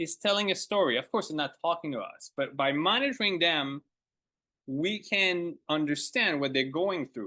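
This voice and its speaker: In a French accent, a man uses a raised, projected voice with a bright, sharp tone and lively intonation, moving at a moderate pace against a quiet background. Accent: French accent, lasting. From Quebec. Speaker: ornithologist. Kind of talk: lecture. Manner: halting.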